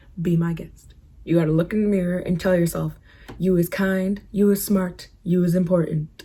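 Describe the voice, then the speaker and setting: A woman with a fairly low pitch speaks at a moderate pace in a dark, mellow, somewhat breathy tone. Her intonation is monotone and flat. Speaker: beauty and lifestyle vlogger. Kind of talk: casual advice vlog. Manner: casual, chatty.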